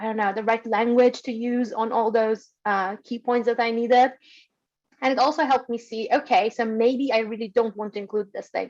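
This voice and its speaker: A woman speaks with an Iranian accent at a moderate pace. Her pitch sits fairly high. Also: quiet background. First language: Persian. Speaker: data science alumna, former urban designer. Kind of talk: webinar discussion. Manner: hesitant, many fillers.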